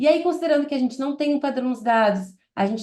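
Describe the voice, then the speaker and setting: Her southern Brazilian accent comes through as a woman speaks with lively intonation. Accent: gaúcho Brazilian Portuguese. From southern Brazil, Porto Alegre. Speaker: product manager. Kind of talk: webinar presentation. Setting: online webinar.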